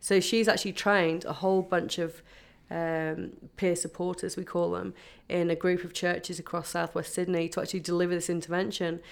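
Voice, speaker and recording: A woman with an English accent at a fairly quick pace, monotone and flat in intonation, on a very clean recording with a silent background. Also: fairly low pitch for a woman. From England. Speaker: epidemiologist. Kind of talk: interview.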